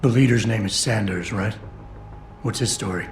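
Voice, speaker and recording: A man does a put-on character voice at medium pitch, raspy and fairly even in intonation, at a moderate pace over clear background noise. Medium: video game. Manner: terse, low-key.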